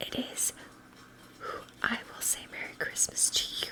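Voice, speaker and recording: The words are whispered. Background noise is noticeable throughout. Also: woman. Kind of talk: storybook poem reading. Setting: home, close-mic ASMR. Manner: gentle rhythmic read-aloud.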